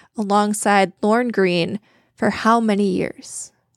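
In a normal speaking voice, a woman talks at a fairly high pitch with fairly even intonation on a very clean recording with a silent background. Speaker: podcast co-host. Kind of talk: trivia quiz hosting; casual chat.

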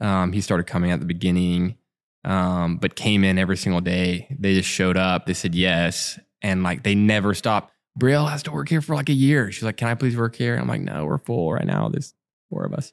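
With a Southern US accent, a man talks at a fairly quick pace in a very deep, low pitch with very wide pitch swings, on a very clean recording with a silent background. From Alabama. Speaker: coffee shop owner. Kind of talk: casual interview. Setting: back room of a cafe.

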